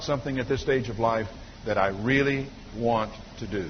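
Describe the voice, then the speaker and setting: Noticeable background noise and audible room echo surround a man's voice. He talks at a fairly quick pace with ordinary pitch variation. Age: 50s. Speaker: pastor. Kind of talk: sermon.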